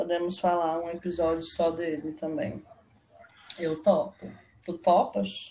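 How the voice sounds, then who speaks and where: This woman speaks very slowly, with long, frequent pauses. Her pitch is fairly low, with ordinary variation. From Belo Horizonte, Minas Gerais, Brazil. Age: 20s. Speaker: podcast co-host. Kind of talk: casual chat. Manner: animated.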